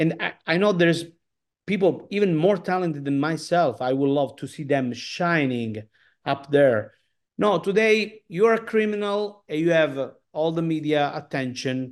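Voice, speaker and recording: Over a quiet background, a man with an Italian accent speaks at a moderate pace in a fairly high voice with lively intonation. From Sicily, Italy. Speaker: opera singer. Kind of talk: interview. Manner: halting, many fillers.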